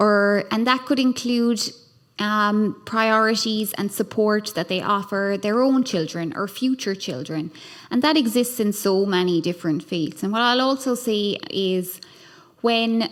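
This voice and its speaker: The recording is very clean, with a silent background. A woman with an Irish accent speaks fairly slowly at a fairly high pitch with ordinary pitch variation. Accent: Irish accent, noticeable. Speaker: human rights lawyer and scholar, panelist. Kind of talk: panel discussion. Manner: hesitant, many fillers.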